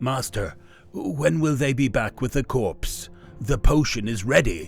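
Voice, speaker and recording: A man in a put-on character voice at medium pitch, talking at a fairly slow pace over faint music in the background. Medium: read story. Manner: anxious.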